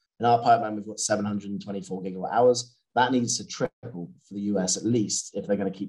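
Here a man speaks with a British accent at a fairly low pitch. His pace is moderate and his pitch variation ordinary. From Britain. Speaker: battery materials analyst. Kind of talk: interview.

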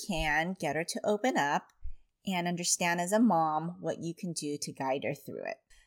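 A woman with an ordinary speaking voice and a fairly low pitch talks at a moderate pace in a dry, close sound with no echo on a very clean recording with a silent background. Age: 40s. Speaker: parenting podcast host and mom coach. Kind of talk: monologue podcast advice.

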